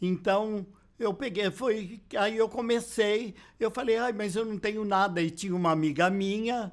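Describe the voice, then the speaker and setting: Delivery is fairly slow with fairly even intonation. The recording is very clean over a silent background. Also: man, high pitch for a man. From Brazil, São Paulo. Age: 70s. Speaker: drag performer. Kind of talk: interview testimony.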